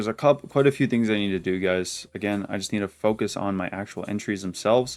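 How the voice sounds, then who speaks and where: The man talks very fast. His intonation remains fairly even. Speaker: forex day trader, trading video creator. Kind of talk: weekly trade review to camera. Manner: casual, filler-heavy.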